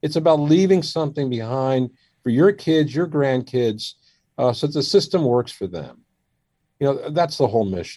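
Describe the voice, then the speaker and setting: Against a quiet background, a man with an American accent speaks with lively intonation in a dark, mellow tone at a fairly high pitch. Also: moderate pace. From Washington DC area, US. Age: 60s. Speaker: surgeon. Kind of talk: interview.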